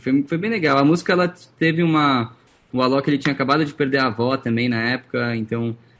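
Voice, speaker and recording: With ordinary pitch variation, a man delivers his words very fast. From Brazil. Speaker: singer-songwriter. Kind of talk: interview.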